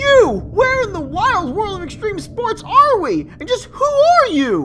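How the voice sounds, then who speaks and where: A cartoonish character voice, squeaky and extremely high-pitched, at a fairly slow pace over clear background noise. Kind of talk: comic overacting. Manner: overdramatic, exclamatory.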